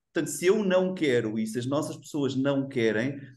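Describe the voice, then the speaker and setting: A man speaks with ordinary pitch variation. Room echo can be heard. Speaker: HR executive, webinar panelist. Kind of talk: panel discussion. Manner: animated.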